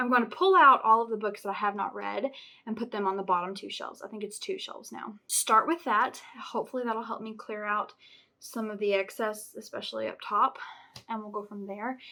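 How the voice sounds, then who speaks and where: A woman speaks at a fairly quick pace with ordinary pitch variation and big swings in loudness. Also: fairly high pitch for a woman. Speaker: booktuber vlogger. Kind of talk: casual vlog talk to camera. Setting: at home. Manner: animated; fast.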